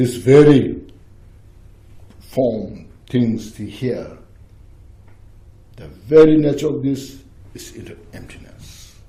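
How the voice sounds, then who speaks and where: In a room with audible echo, a man with a dark, mellow, medium-pitched voice and vocal fry speaks at a very slow pace, with long, frequent pauses, ordinary pitch variation and big swings in loudness. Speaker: Buddhist teacher. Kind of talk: dharma teaching with Q&A. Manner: halting.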